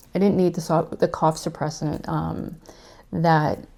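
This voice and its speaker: A woman talks at a fairly slow pace with monotone, flat intonation. Her tone is dark and mellow in a very clean recording with a silent background. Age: 50s. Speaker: weight loss vlogger. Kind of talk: casual chat. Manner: halting.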